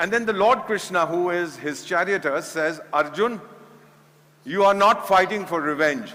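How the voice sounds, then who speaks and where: A man with an Indian accent speaks at a fairly slow pace with lively intonation, amid noticeable background noise and audible room echo. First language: Hindi. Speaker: former ambassador and conference speaker. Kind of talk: conference speech.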